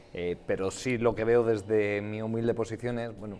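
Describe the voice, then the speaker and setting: A man speaks at a moderate pace with a fairly low pitch. Light background noise sits under his voice. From Spain. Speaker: politician. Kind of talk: heated debate. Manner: halting. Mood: calm, measured, slightly critical. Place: studio. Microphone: lapel.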